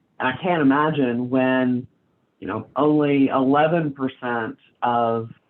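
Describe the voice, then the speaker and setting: The speaker has an American accent and ordinary pitch variation. The pace is fairly slow. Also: woman. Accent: Southern US, comes out at times. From US South. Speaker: panel moderator. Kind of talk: panel discussion.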